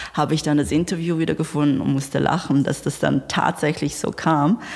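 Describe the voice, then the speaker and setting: Noticeable background noise runs beneath a woman talking at a fairly quick pace. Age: 30s. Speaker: entrepreneur. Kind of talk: interview.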